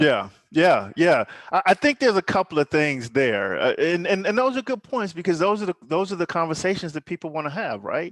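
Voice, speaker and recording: A man with an American accent, a high pitch, lively intonation and a fairly quick pace, in dry, close sound with no echo over a quiet background. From US Midwest (Pontiac, Michigan). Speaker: podcast host. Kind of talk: casual conversation. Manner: halting, many repetitions.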